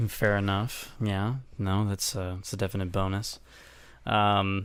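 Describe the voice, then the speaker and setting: A man at a fairly slow pace, monotone and flat in intonation. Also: fairly low pitch for a man. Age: 20s. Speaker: podcast co-host. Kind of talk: casual chat. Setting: studio.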